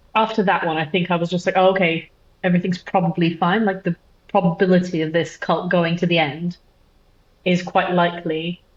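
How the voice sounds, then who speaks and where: Fairly quick and somewhat breathy, a woman speaks with a fairly low pitch in a monotone, flat intonation. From Brazil. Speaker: mother sharing birth story. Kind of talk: casual interview. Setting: remote call. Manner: hesitant, many fillers.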